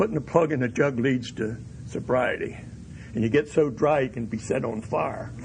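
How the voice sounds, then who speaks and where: A man speaks at a medium pitch with a somewhat breathy voice. His pace is moderate and his pitch varies in an ordinary way. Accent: American. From Pennsylvania Dutch country, US. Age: 70s. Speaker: recovery speaker. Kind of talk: AA speaker talk.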